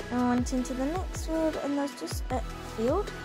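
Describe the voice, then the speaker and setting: Music in the background behind a woman's moderately paced speech. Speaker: vlogger narrating a farm visit. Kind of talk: casual vlog narration.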